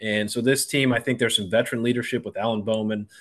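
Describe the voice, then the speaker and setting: In an unremarkable speaking voice, a man talks at a fairly quick pace and medium pitch with fairly even intonation against a quiet background. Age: middle-aged. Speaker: former college quarterback and radio analyst. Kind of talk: interview.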